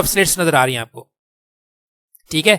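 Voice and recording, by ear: A man's fairly high-pitched voice has a bright, sharp tone.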